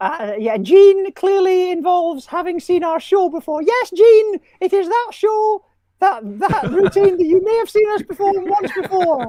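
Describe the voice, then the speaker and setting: A cartoonish character voice pitched extremely high talks at a moderate pace. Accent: Scottish. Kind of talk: comedy puppet banter. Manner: falsetto.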